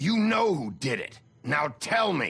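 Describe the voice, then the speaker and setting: A man growls in a put-on character voice, high-pitched for a man, with very wide pitch swings at a fairly slow pace. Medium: video game. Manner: gruff, terse.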